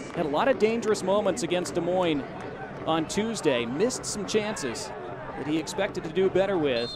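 A man's high-pitched, excited voice, fairly quick with lively intonation, over noticeable background noise. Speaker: soccer commentator. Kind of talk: live soccer match commentary. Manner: excited, rising intensity at goals.

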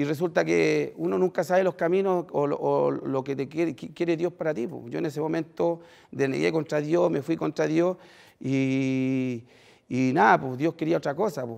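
Fairly slow speech from a man, quiet background behind him. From Chile. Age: 30s. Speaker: former prisoner turned social worker; speaker. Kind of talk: testimony. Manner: halting, many fillers. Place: stage. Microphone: headset.

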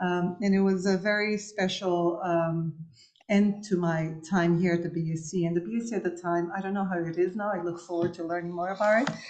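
The voice holds a monotone, flat intonation at a moderate pace. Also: woman, fairly low pitch for a woman. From Cabo Verde. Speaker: architect; architect lecturer. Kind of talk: lecture. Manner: halting, many fillers. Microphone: webcam.

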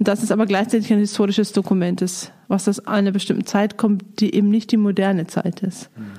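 A woman speaks at a fairly quick pace with medium pitch and a dark, mellow tone. Her intonation is monotone and flat, her voice somewhat breathy and very even in loudness. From Lower Bavaria, Germany. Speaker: director of a Bible society. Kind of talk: casual interview conversation.

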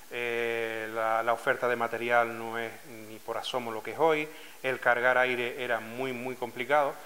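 A man speaks fairly slowly at a medium pitch. His tone is bright and sharp, and his intonation is monotone and flat. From Canary Islands, Lanzarote (Arrecife). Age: 40s. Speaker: scuba diving club president. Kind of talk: interview testimony. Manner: hesitant, with frequent fillers and repetitions.

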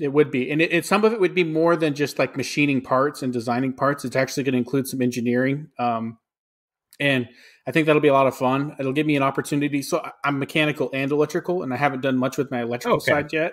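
A man talks at a very fast pace with fairly even intonation. The background is quiet. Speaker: podcast co-host. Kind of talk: casual podcast conversation. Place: kitchen.

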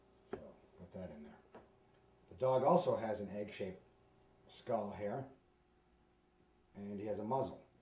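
A man talks at a moderate pace. Audible room echo and light background noise are present. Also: long, frequent pauses, big swings in loudness. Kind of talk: tutorial. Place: home room.

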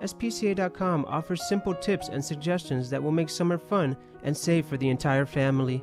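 With music in the background, a man talks at a fairly high pitch and a fairly quick pace. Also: ordinary pitch variation. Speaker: media performance student. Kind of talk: public service announcement. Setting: studio.

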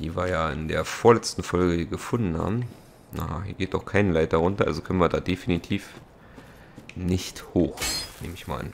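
Over noticeable background noise, a man with a very deep, low pitch speaks at a moderate pace with long, frequent pauses, ordinary pitch variation and big swings in loudness. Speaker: let's play gamer. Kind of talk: gameplay commentary. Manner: casual, frequent laughs.

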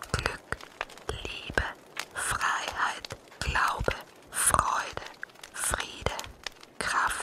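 A woman whispers at a very slow pace, leaving long, frequent pauses. Noticeable background noise can be heard. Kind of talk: ASMR affirmation words. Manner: whispered.

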